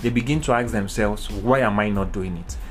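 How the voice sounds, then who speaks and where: With a Nigerian accent, a man speaks at a moderate pace using lively intonation. Noticeable background noise is present. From Nigeria, eastern. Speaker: leadership speaker. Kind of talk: talk. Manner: hesitant, frequent ums.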